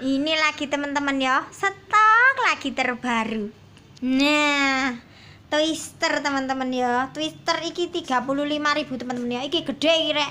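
A woman's raised, projected voice, high in pitch with a bright, sharp tone, ordinary pitch variation and a moderate pace, over light background noise. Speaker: online plant seller; plant seller. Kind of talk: sales pitch. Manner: casual. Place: garden. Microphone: phone near.

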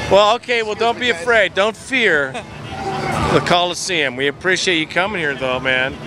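A man's lively intonation at a moderate pace with hardly any pauses, dry with no echo, over noticeable background noise. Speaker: fan videocast host. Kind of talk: street interview. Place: street. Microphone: handheld.

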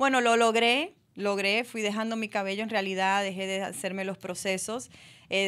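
A woman talks at a moderate pace in a flat monotone against a quiet background. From Dominican Republic. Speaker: actress; interview guest, actress. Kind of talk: radio interview. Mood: calm, reflective. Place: studio. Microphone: studio mic.

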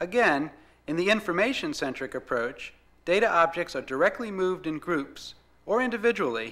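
The voice has a bright, sharp tone and very wide pitch swings. Its pace is moderate. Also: man. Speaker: narrator. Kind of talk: scripted product demo narration. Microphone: old recording.

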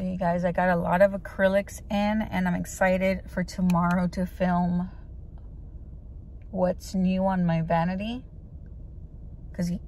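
A woman's fairly low voice, fairly slow and monotone with flat intonation, dry with no echo, over light background noise. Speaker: beauty vlogger. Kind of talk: casual vlog chat. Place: car. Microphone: phone near.

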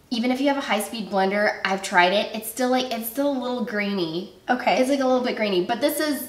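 Amid audible room echo, a woman speaks very fast with hardly any pauses and ordinary pitch variation. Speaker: guest. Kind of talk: casual cooking show chat. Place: kitchen.

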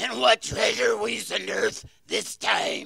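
A man puts on a character voice, raspy and fairly slow.

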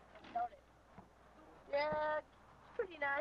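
Light background noise sits under speech delivered at a fairly slow pace. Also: woman. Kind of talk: casual home video chat. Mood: playful joking. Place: car. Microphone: old recording.

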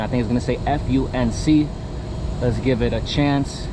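A man's medium-pitched voice over clear background noise

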